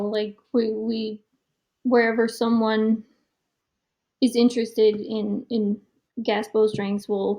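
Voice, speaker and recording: At a very slow pace with long, frequent pauses, a woman speaks at a fairly high pitch. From Denmark. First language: Danish. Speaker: professional archer. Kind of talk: podcast interview.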